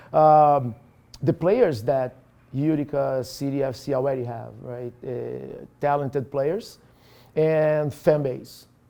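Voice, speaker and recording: The pace of this man's speech is very slow. He has a fairly high pitch. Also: ordinary pitch variation. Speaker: football coach. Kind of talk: interview. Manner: halting.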